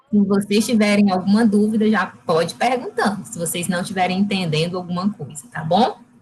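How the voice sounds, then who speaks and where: A woman talks at medium pitch and a fairly quick pace with hardly any pauses, her pitch varying in an ordinary way and her loudness swinging widely over noticeable background noise. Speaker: nutritionist giving a talk. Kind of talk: lecture.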